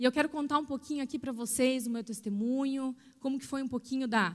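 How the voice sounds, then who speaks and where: A woman speaks in a high voice. The recording is very clean, with a silent background. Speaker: pastor. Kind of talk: sermon.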